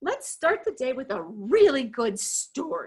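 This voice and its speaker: A woman's put-on character voice, high-pitched and fairly slow, with very wide pitch swings. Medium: read story. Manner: warm, encouraging.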